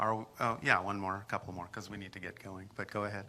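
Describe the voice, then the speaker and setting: A fairly low-pitched man's voice, bright and sharp in tone, monotone and flat, at a fairly quick pace, in a very clean recording with a silent background. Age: 60s. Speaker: spiritual channeler. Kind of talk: audience Q&A. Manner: halting.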